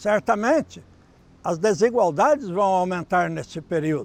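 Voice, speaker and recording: A man's high voice at a fairly slow pace. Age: 60s. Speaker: psychology professor. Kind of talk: interview.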